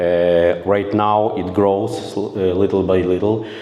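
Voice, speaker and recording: A man with a Ukrainian accent speaks at a fairly slow pace and a fairly low pitch, with audible room echo and noticeable background noise. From Ukraine. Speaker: volunteer combat medic instructor. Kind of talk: conference presentation. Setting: conference room with audience. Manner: halting, many filler sounds.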